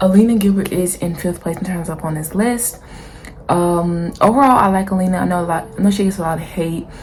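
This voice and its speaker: With noticeable background noise and audible room echo, a woman talks at a fairly quick pace in a fairly low pitch. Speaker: YouTuber, TV show commentator. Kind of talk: casual opinion vlog. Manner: fast; animated.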